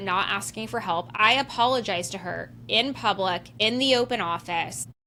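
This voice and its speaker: A loud woman's voice with a bright, sharp tone at a fairly slow pace. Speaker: podcast host. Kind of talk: solo podcast monologue. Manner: casual, filler-heavy.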